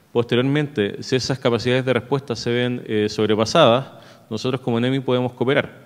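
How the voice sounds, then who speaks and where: Fairly fast and in a flat monotone, a man speaks over a quiet background. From Chile, La Serena; Chile. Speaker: emergency management official; presenter. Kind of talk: conference presentation. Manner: hesitant, frequent filler eh. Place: hall. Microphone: podium.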